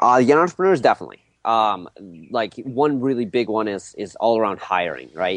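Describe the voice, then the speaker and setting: A man's plain, everyday voice at medium pitch, fairly quick in pace with lively intonation, over a quiet background. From Russia, moved to the US at seven. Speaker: digital marketing agency owner. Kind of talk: interview conversation.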